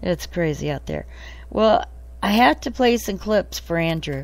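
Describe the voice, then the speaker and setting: With an American accent, a woman speaks at a moderate pace in a very clean recording with a silent background. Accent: southern US accent, comes and goes. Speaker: podcast host. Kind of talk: casual chat. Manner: animated.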